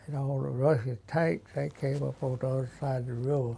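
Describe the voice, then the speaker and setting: Moderate pace and fairly even intonation, with a dark, mellow tone, somewhat breathy, in an Alabama accent. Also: man. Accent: Southern US, Alabama. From US South, Alabama. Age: 90s. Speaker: war veteran. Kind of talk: interview. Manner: halting.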